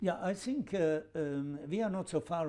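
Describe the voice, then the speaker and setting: The tone is dark and mellow. Pitch varies in an ordinary way. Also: man. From Switzerland. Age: 70s. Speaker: football administrator. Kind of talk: interview answer. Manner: hesitant, many fillers.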